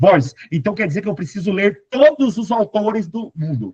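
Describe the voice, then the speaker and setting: Animated and high-pitched, a man talks with very wide pitch swings. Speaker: Portuguese teacher for exam prep. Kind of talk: lecture.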